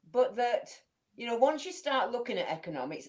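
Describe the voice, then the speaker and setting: A woman speaks in a Manchester accent. Her pitch swings very widely. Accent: northern English (Manchester area). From northern England, Manchester area. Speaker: community leader. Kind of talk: interview. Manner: reflective, conversational.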